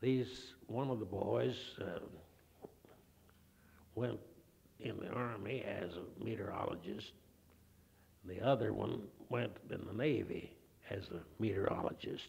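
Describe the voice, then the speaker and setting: A man with an Oklahoma accent talks at a fairly slow pace and fairly low pitch, with vocal fry, ordinary pitch variation and long, frequent pauses. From Oklahoma, near Enid. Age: 70s. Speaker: retired physics professor. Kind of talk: oral history interview. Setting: recorded interview with handheld mic. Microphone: old recording.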